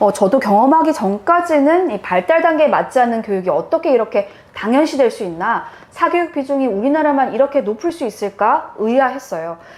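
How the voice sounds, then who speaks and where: A woman talks loudly at a fairly quick pace, her high pitch swinging very widely, with noticeable background noise. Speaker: journalist turned education channel host. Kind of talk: casual chat.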